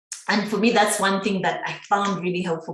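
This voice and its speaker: The speech moves at a fairly quick pace. Audible room echo and noticeable background noise fill the recording. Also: woman. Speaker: guest sharing experience of working abroad. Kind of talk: casual podcast interview.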